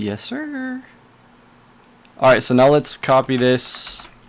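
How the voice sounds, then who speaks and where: A man with an American accent talks at a very slow pace, leaving long, frequent pauses over noticeable background noise. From California. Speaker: video game streamer. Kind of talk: casual livestream talk while editing clips.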